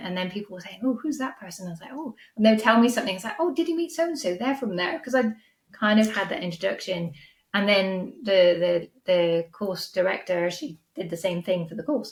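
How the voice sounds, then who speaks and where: Speaking fairly quickly with a Welsh accent, a woman at medium pitch sounds somewhat breathy, with lively intonation and big swings in loudness. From Wales. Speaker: podcast host and business coach. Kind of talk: interview answers, casual conversation.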